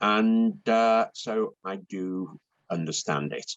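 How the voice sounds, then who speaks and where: A man speaks with a British accent. The sound is dry and close with no echo, over a quiet background. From UK. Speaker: intellectual property consultant. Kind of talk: interview. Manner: hesitant, many fillers.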